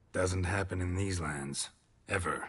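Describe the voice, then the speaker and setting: Using a put-on character voice, a man delivers a deadpan tone in a very deep, low, raspy pitch, keeping fairly even intonation at a fairly slow pace. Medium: video game. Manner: terse, deadpan.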